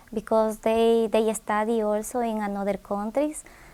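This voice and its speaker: A woman with a Spanish accent, fairly high pitch, fairly even intonation and a moderate pace. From Ecuador, Quito. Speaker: graduate student. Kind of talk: interview. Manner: halting, many repetitions.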